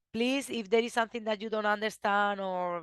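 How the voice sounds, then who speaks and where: A woman with a non-native accent speaks in a fairly even intonation, her voice dry and close with no echo against a quiet background. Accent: noticeable foreign accent in English. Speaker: researcher presenting study. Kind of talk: webinar presentation. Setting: video call webinar. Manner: halting, many restarts.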